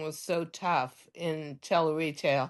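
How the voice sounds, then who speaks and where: A woman with an American accent at a very slow pace against a quiet background. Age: 80s. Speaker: fashion designer and TV presenter. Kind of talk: interview storytelling.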